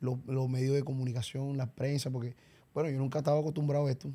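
The man's voice has a dark, mellow tone at medium pitch. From Colombia, Barranquilla (Caribbean coast); Colombia. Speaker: champeta singer; podcast guest. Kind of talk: casual interview. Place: studio. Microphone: studio mic.

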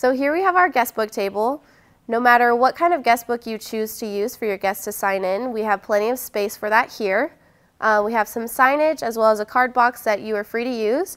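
A woman at a fairly quick pace with ordinary pitch variation, against a quiet background. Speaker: venue host. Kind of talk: guided tour presentation. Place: hall.

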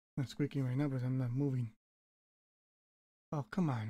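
With a dark, mellow tone, a man speaks fairly quickly, somewhat breathy and with fairly even intonation. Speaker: gaming youtuber. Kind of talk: gameplay commentary. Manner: not whispering; casual, rambling.

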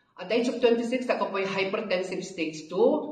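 A woman talks with ordinary pitch variation, and audible room echo can be heard. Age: 60s. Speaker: product testimonial giver. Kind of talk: testimony. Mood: earnest, calm. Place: office.

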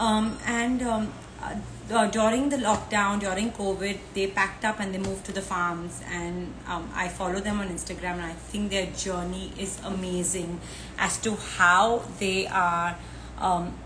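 A woman talks at a fairly slow pace, her intonation fairly even, with light background noise behind her. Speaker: live show host. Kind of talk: casual livestream introduction. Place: home room. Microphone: earbuds.

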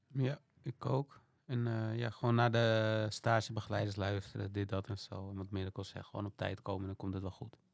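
A man talks at a moderate pace and a fairly low pitch, his intonation fairly even. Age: 20s. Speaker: student intern. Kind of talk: casual interview. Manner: halting, many hesitations.

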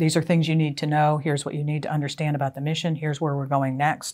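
In a quiet background, a woman talks with a very deep, low pitch. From western Pennsylvania, US (small rural town). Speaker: retired army general and author. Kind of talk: interview monologue. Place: home room. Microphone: lapel.

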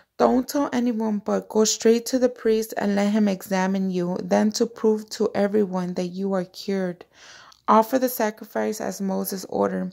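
A woman's dark, mellow tone at a moderate pace, fairly even in intonation, over a quiet background. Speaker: devotional vlogger. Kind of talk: scripture reading. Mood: devout, warm. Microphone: phone near.

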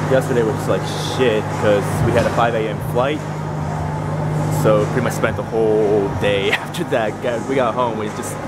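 Through loud background noise, a man speaks at a moderate pace with long, frequent pauses. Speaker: fitness vlogger. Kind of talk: casual vlog chat. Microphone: phone near.

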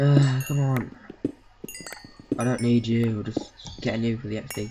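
The pace of the speech is moderate. Background noise is noticeable throughout. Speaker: gaming YouTuber. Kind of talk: gameplay commentary. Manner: casual, rambling.

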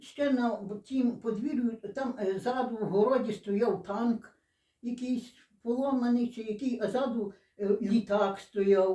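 Very slowly and with fairly even intonation, a woman speaks at a fairly high pitch. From western Ukraine, Lviv region, Stryi district. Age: 80s+. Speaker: dialect informant. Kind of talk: oral history interview. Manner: halting.

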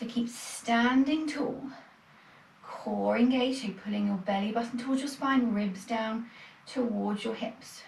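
A woman speaks at a fairly slow pace with fairly even intonation, with light background noise and audible room echo. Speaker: fitness instructor. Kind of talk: exercise class instruction. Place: home room. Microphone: camera far.

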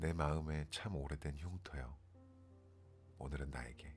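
Music plays in the background as a man speaks. His pitch is very deep and low, with fairly even intonation. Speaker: poetry reader, ASMR channel host. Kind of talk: poetry reading, sleep-aid ASMR.

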